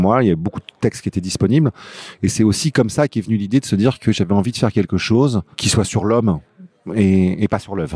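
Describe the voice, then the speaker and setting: Dry and close with no echo, a dark, mellow voice speaks at a very fast pace. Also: man. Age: 50s. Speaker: novelist and comic book writer. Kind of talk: interview. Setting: comics festival.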